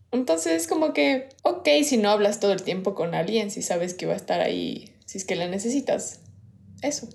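A woman of medium pitch shows vocal fry and very wide pitch swings at a moderate pace. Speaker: podcast co-host. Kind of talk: casual chat. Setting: recorded remotely, separately.

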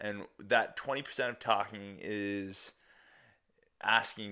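A man's bright, sharp voice on a very clean recording with a silent background. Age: 20s. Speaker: podcast host and personal trainer. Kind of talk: casual solo monologue. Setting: home dining room. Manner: hesitant, many fillers.

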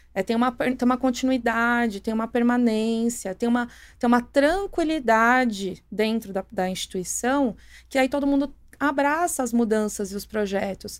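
On a very clean recording with a silent background, a woman speaks at a high pitch with ordinary pitch variation. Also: moderate pace. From São Paulo ABC region, Brazil. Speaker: municipal economic development secretary. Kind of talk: podcast interview.

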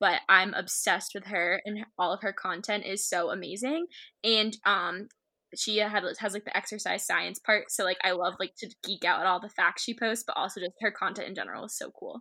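With an American accent, a woman speaks at a moderate pace and a medium pitch, her tone animated, bright and sharp, on a very clean recording with a silent background. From Massachusetts, Shrewsbury. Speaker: nursing assistant and student club leader. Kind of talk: casual podcast interview.

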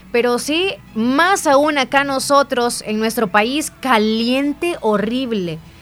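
Noticeable background noise sits behind a woman's high voice. She speaks at a very slow pace with lively intonation. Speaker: radio host. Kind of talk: news reading; casual chat.

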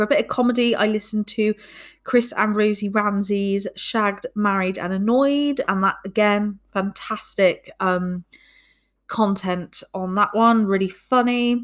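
A woman speaks with a Bristol accent. Her pitch is fairly high and her pace fairly slow. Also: fairly even intonation, very clean recording, silent background. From Bristol, England. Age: 20s. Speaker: podcast host. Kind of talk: casual monologue.

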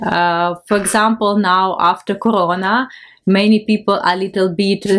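Speaking at a fairly slow pace and medium pitch, a woman with a Ukrainian accent keeps her intonation fairly even on a very clean recording with a silent background. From Ukraine. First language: Ukrainian or Russian. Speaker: missionary and art festival organizer. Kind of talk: interview testimony. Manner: halting.

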